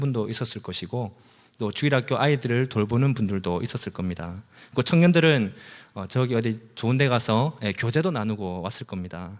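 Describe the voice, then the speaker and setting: Lively intonation marks a man at medium pitch talking at a fairly quick pace. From South Korea, Busan. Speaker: preacher. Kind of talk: sermon. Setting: church.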